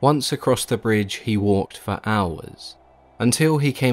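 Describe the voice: What you hear is plain reading aloud.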